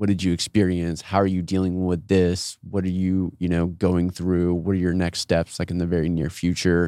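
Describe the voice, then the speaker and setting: A man with an American accent, very deep and low in pitch, dark and mellow in tone, monotone and flat, at a moderate pace with hardly any pauses, over a quiet background. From Austin, Texas. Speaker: entrepreneur and traveler. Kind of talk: casual chat. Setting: studio.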